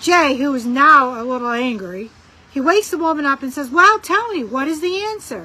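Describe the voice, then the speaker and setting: A woman in a Rochester accent with a raised, projected voice, high pitch, bright, sharp tone, lively intonation and moderate pace. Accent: northern Rochester. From Rochester area, northern US. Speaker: friend sending jokes. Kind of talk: joke telling.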